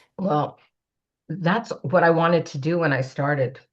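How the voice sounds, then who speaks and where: In a Canadian accent, an ordinary speaking voice moves at a moderate pace with fairly even intonation over a quiet background. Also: woman. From Canada. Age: 60s. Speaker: age-equity advocate and entrepreneur. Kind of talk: podcast interview. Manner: conversational, with fillers.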